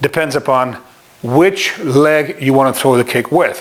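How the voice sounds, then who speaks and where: A man speaks over noticeable background noise. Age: 60s. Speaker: martial arts instructor. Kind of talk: tutorial. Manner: animated.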